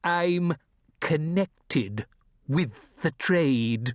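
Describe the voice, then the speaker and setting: A man does a put-on character voice, fairly high in pitch, with lively intonation. The sound is dry and close, with no echo. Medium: read story. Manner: quiet, measured, cryptic.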